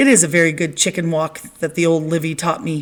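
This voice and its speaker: A woman's raspy, put-on character voice, fairly low in pitch, at a fairly quick pace. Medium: read story. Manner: earnest, literal.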